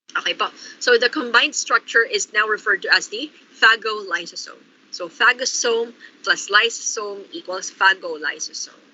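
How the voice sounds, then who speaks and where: Noticeable background noise sits behind a voice with lively intonation. Loudness swings widely, and the pace is moderate. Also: woman, fairly high pitch for a woman. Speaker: lecturer. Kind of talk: online lecture. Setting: online class.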